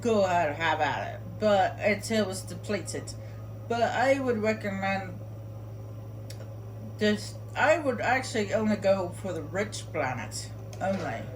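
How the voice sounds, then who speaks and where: A woman at a fairly slow pace with long, frequent pauses, against noticeable background noise and audible room echo. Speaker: video game streamer. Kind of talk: gameplay tutorial commentary. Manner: loud; casual, halting with fillers.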